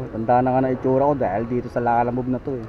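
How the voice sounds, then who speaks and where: At a very fast pace, a man with a medium pitch speaks over noticeable background noise. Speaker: delivery rider motovlogger. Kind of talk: casual vlog narration.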